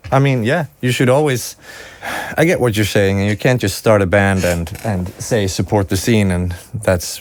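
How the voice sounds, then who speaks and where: There is noticeable background noise as a man with a Swedish accent and a fairly low pitch talks at a moderate pace with ordinary pitch variation. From Sweden. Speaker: music producer and recording engineer. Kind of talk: podcast interview. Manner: hesitant, with frequent self-corrections.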